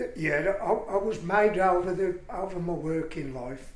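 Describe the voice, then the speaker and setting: The man's voice is fairly high in pitch, and his pace is moderate. Room echo is audible, and there is noticeable background noise. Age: 70s. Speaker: retired welder. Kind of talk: oral history interview.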